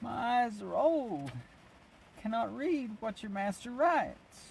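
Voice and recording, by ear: A man puts on a character voice at an extremely high pitch, shaky throughout. He speaks at a fairly slow pace with lively intonation.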